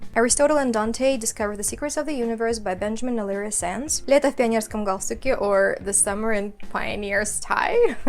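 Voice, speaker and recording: Fairly quick speech with ordinary pitch variation and hardly any pauses, over noticeable background noise. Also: woman, fairly high pitch for a woman. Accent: Kazakh. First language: Kazakh. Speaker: booktuber. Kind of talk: bookshelf tour video.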